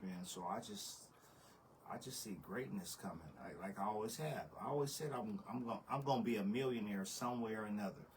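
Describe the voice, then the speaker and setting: Fairly quick speech from a man, ordinary pitch variation, noticeable background noise and audible room echo. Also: fairly low pitch for a man. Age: 40s. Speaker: podcast host. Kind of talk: casual chat.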